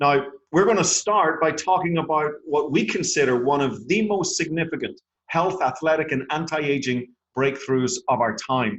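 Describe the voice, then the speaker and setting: Speaking at a moderate pace with an Irish accent, a man uses a fairly high pitch, ordinary pitch variation, an enthusiastic tone and very even loudness. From Ireland. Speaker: network marketing presenter. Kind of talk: sales pitch. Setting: phone conference call.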